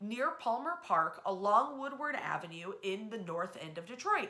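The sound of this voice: Speaking at a fairly slow pace, a woman's bright, sharp tone rides big pitch swings.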